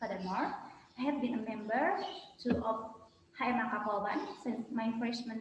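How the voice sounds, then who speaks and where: Amid audible room echo and noticeable background noise, a woman with a fairly high pitch speaks at a moderate pace with ordinary pitch variation. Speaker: student. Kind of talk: role-play job interview.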